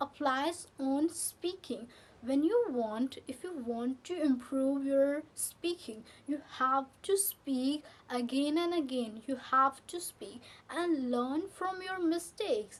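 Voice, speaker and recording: Very slow speech in an Indian accent, with lively intonation. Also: woman, high pitch for a woman. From India, Delhi. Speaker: English teacher. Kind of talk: tutorial. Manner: repetitive, halting.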